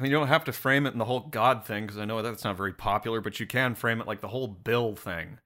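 The recording presents a natural reading voice.

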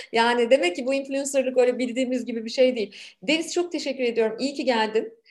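A woman with a high pitch talks very fast, her pitch varying in an ordinary way. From Turkey, Ankara. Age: 40s. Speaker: podcast host and businesswoman. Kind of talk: podcast interview.

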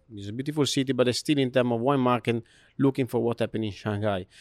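Recorded very cleanly with a silent background and a dry, close sound with no echo, a man speaks at medium pitch with fairly even intonation. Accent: Italian. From Italy. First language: Italian. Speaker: hotel food and beverage director. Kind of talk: interview. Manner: halting.

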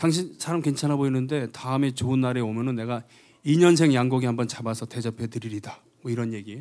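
Medium in pitch with ordinary pitch variation, the man has a dark, mellow tone. He talks at a fairly quick pace. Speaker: singer. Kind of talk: stage banter between songs. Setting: stage with audience. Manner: joking, self-deprecating.

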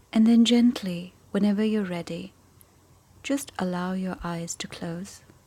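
Her voice is somewhat breathy, with a dark, mellow tone and ordinary pitch variation. The woman speaks in a calm, soothing tone. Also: medium pitch for a woman, fairly slow pace, big swings in loudness. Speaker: meditation teacher. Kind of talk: guided meditation. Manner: slow, calm and soothing, with long pauses; gentle, soft-spoken.

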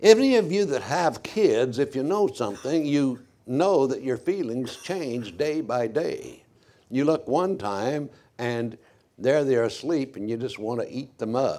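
This man talks at a fairly slow pace, with lively intonation and a dark, mellow tone in a fairly high pitch. The recording is very clean, with a silent background. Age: 80s+. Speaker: preacher. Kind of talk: sermon. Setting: church.

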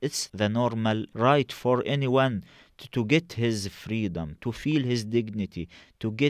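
A man with an Arabic accent speaks at a very slow pace and medium pitch, with ordinary pitch variation. The recording is very clean with a silent background, the sound dry and close with no echo. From Gaza, Palestine. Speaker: journalist and activist organizer. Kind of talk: interview. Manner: halting.

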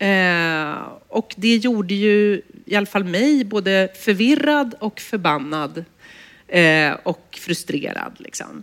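Very slow speech from a woman at a medium pitch, with lively intonation. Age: 40s. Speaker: journalist and author. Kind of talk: public conversation. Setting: stage with audience.

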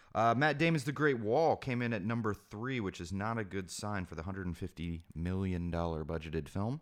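A man with a normal speaking voice talks at a fairly quick pace with a fairly low pitch. His intonation is lively, and the background is quiet. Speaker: guest. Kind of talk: casual chat.

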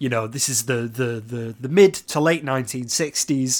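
A man speaks at a medium pitch with ordinary pitch variation in a plain, everyday voice. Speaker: podcast host. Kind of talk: interview questions.

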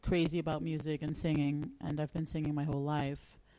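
A woman with a Dutch accent speaks in a dark, mellow tone. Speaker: singer-songwriter and music teacher. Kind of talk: casual interview. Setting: radio studio.

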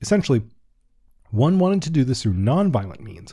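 A man with an American accent has a dark, mellow, somewhat breathy tone and very wide pitch swings, on a very clean recording with a silent background. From US, Washington D.C. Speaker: history podcast host. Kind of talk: casual commentary; scripted narration.

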